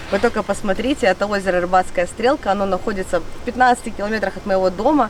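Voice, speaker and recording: With noticeable background noise behind her, a woman talks very fast at a medium pitch with ordinary pitch variation. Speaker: fishing vlogger. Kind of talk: vlog talk to camera. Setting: outdoors by a lake. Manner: animated.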